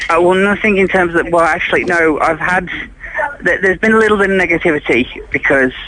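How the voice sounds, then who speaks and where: Speaking at a very fast pace with an English accent, a man uses a high pitch with ordinary variation and very even loudness over noticeable background noise. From England, Derbyshire. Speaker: caller. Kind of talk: phone conversation. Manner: halting.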